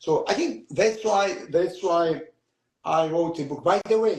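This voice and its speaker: A man with a Georgian accent speaks at a fairly slow pace in a high voice, his pitch rising and falling in an ordinary way. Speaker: author. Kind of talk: interview. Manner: halting.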